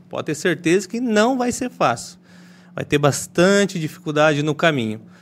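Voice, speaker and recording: A man with a high pitch talks at a fairly slow pace, his voice swinging very widely in pitch. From western Paraná, Brazil. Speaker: real estate business owner. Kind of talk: podcast interview.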